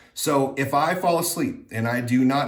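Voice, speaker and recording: A man's pitch moves in an ordinary way while an audible echo fills the room. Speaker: vlogger sharing surgery recovery update. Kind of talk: casual vlog update. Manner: hesitant with many fillers.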